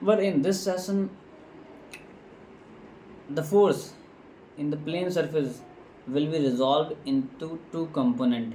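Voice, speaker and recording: A fairly high-pitched man at a fairly slow pace, with ordinary pitch variation, long, frequent pauses and noticeable background noise. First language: non-native English speaker. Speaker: engineering tutor. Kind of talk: lecture tutorial.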